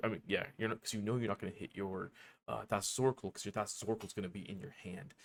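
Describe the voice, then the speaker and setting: The recording is very clean, with a silent background. A man with a fairly low pitch talks at a very fast pace with ordinary pitch variation. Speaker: card game deck explainer. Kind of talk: casual, conversational. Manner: fast talker.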